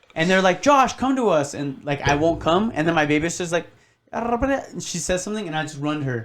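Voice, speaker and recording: Talking very fast with an American accent, a man uses a high pitch and very wide pitch swings. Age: 20s. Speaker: podcast guest. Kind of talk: casual chat.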